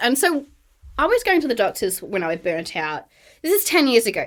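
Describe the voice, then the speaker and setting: A bright, sharp tone with very wide pitch swings comes in an Australian accent at a fairly quick pace. The recording is very clean, with a silent background. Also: woman. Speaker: burnout and wellness coach. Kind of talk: podcast interview. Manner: casual, filler-heavy.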